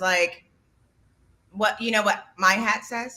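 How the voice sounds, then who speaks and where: Loud and fairly slow, a woman speaks in a bright, sharp tone. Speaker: podcast co-host. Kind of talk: casual chat.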